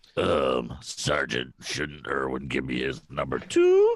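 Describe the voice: In a put-on character voice, a man drones raspy and flat at a very deep, low pitch, moving at a fairly slow pace.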